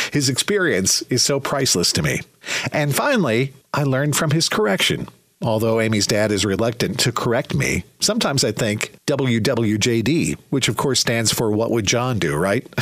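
A man with a medium-pitched voice, lively intonation and a warm, upbeat tone talks at a moderate pace amid noticeable background noise. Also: very even loudness. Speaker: radio host. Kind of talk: radio DJ patter: smooth upbeat countdown announcing, song intros, plugs. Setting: radio studio. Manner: polished, warm, upbeat, brisk.

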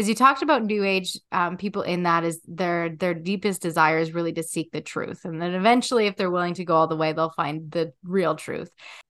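A normal speaking voice at a fairly quick pace, with ordinary pitch variation and hardly any pauses. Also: woman, fairly low pitch for a woman. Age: 30s. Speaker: podcast host and coach. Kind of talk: interview; scripted intro.

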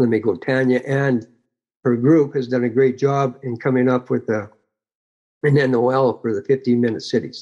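A man's medium-pitched, dark, mellow voice at a moderate pace, with fairly even intonation and a quiet background. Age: 60s. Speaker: retired activist chapter leader. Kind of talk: casual interview. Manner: humble, plain-spoken.

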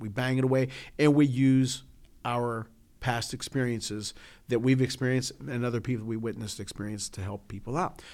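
An ordinary speaking voice: a man with an American accent at medium pitch and a fairly quick pace, on a very clean recording with a silent background. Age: 50s. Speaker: podcast co-host. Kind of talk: casual chat.

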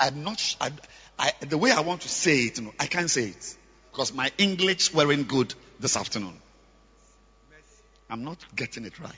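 A man at medium pitch with a bright, sharp tone, a husky, rough edge, lively intonation and a moderate pace

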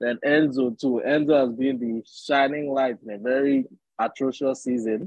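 A man talks at a moderate pace with fairly even intonation. It is an unremarkable speaking voice. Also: medium pitch for a man. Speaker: guest, Chelsea fan. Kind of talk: casual podcast discussion.

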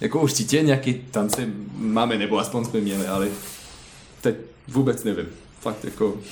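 A medium-pitched man with a French accent at a moderate pace, with long, frequent pauses, ordinary pitch variation, audible room echo and noticeable background noise. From France. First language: French (speaking Czech). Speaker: ballet dancer. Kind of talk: interview. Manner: halting.

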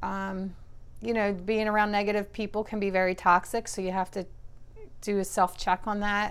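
A woman talks at a moderate pace in a medium pitch. Her intonation is monotone and flat. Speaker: host's mother, weight-loss story. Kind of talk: casual chat. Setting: at home with family dogs. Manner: hesitant, many fillers.

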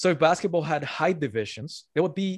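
With an ordinary speaking voice, a man talks at a fairly quick pace and with lively intonation against a quiet background. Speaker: author. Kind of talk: casual interview.

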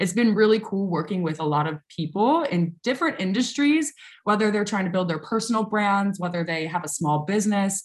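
A woman with an American accent speaks at a fairly quick pace and medium pitch, somewhat breathy and animated in tone. Her intonation is lively, and the recording is very clean with a silent background. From US South, New Orleans, Louisiana. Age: 20s. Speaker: social media consultant and content creator. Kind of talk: interview.

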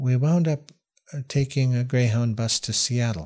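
A somewhat breathy man with an American accent speaks fairly slowly at a medium pitch with ordinary pitch variation. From Washington State and British Columbia interior. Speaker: former First Nations chief and cultural interpreter. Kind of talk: casual interview.

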